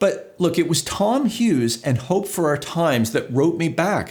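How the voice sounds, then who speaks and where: At a moderate pace, a man with a New Jersey accent speaks at a high pitch with lively intonation. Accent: American, New Jersey. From US, New Jersey. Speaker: video producer and YouTuber. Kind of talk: casual vlog monologue.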